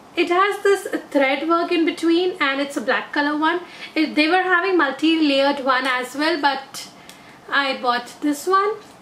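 At a fairly slow pace, the voice keeps ordinary pitch variation and very even loudness, with audible room echo and light background noise. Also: woman, high pitch for a woman. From India. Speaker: beauty vlogger. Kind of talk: product haul video. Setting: in an auto rickshaw. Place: home room. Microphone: phone near.

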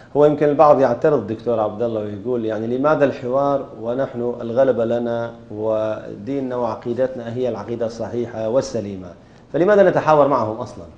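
A man talks with hardly any pauses and ordinary pitch variation. Room echo is audible. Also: moderate pace. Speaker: interviewer. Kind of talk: interview. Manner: formal. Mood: calm, friendly. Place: studio. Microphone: lapel.

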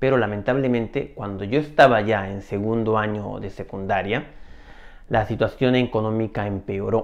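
Here a man speaks with a fairly low pitch and ordinary pitch variation. His pace is fairly slow. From Peru. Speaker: video storyteller. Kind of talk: personal story monologue. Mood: reflective, calm. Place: home room. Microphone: lapel.

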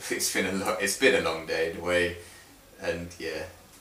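With strong room echo around him, a man speaks at a moderate pace in a low pitch, his tone bright and sharp and his pitch barely moving.

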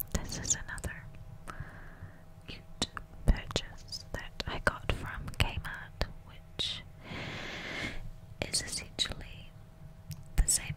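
Whispering very slowly, a woman leaves long pauses again and again. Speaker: ASMR artist. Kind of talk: ASMR whisper video. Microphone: studio mic.

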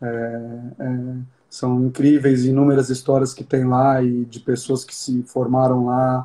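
A man's dark, mellow tone over a quiet background. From Brazil. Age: 30s. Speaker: show jumping rider; interviewee. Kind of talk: interview. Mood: calm, reflective. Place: home room. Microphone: phone near.

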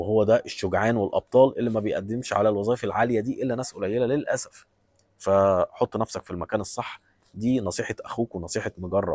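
A man with an Egyptian accent speaks at a fairly quick pace and medium pitch, his intonation fairly even, in a dry, close sound with no echo on a very clean recording with a silent background. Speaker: vlogger giving job advice. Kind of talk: advice monologue. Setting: airport.

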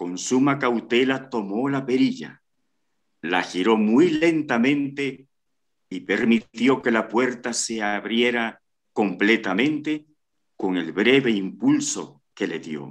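A man talks at a very slow pace. His intonation is lively, and the background is quiet. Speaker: story narrator. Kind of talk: dramatic suspense narration, reading a short story aloud. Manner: slow, hushed and tense, building suspense. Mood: suspenseful, dramatic. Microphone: video call.

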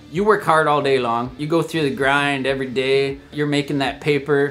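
A man at a moderate pace, medium pitch and ordinary pitch variation, with a fairly bright tone and faint music in the background.

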